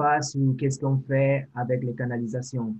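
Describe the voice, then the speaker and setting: A man with a non-native accent talks fairly slowly in a monotone, flat intonation. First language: not French (speaking French). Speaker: sanitation technologist. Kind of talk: interview.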